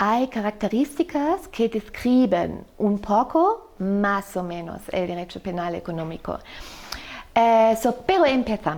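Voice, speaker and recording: A woman speaks very slowly in a German accent, her fairly high voice making very wide pitch swings. The delivery is very slow throughout. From Germany. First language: German (speaking Spanish). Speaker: law professor. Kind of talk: podcast interview. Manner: halting, many fillers.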